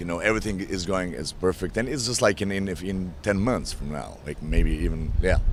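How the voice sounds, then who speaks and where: With a Slavic accent and a very deep, low pitch, a man talks at a moderate pace with lively intonation, while music plays in the background and room echo is audible. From Eastern Europe. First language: Slavic language. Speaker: actor. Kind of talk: press interview.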